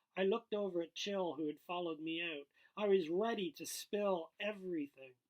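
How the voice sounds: A man with a high pitch and ordinary pitch variation speaks at a moderate pace.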